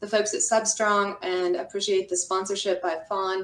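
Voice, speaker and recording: Speaking with an American accent, a woman keeps a medium pitch, moderate pace and fairly even intonation. Noticeable background noise is present. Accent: Texas accent, comes out when comfortable. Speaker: construction lawyer. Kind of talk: webinar presentation. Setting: video call from home office.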